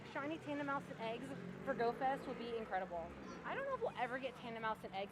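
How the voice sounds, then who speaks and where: A woman speaks at a very fast pace with ordinary pitch variation. Noticeable background noise runs underneath. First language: Romanian. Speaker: live streamer, mobile game player. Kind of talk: casual live stream chat.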